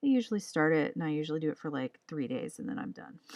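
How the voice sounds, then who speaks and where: Quiet and fairly low in pitch, a woman speaks. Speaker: comic artist and illustrator streamer. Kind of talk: casual livestream chat while drawing. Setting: livestream.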